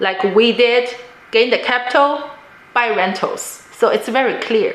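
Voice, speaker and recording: A high-pitched woman at a fairly slow pace with ordinary pitch variation, amid audible room echo and noticeable background noise. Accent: non-native. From immigrant to the US, non-native English speaker. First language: not English. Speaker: real estate investor, vlogger. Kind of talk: personal story and advice monologue.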